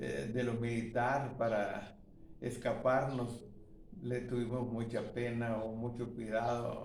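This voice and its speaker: A man speaks at a very slow pace with monotone, flat intonation. Audible room echo fills the recording. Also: medium pitch for a man. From Guatemala, rural Jutiapa area. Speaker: elderly witness. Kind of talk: testimony. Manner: halting.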